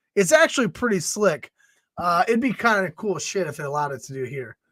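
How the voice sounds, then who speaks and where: A man speaks in a high pitch with lively intonation. The recording is very clean, with a silent background. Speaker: fantasy football podcast host. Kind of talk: solo podcast while live drafting. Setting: live stream. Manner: casual, conversational.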